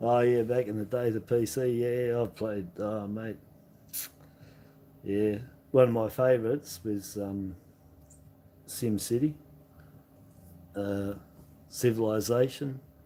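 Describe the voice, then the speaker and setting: Someone with an Australian accent speaks very slowly in a dark, mellow tone, with fairly even intonation and long, frequent pauses. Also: man, medium pitch for a man. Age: 60s. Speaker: coin collecting streamer. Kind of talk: casual live stream chat. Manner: halting, many fillers.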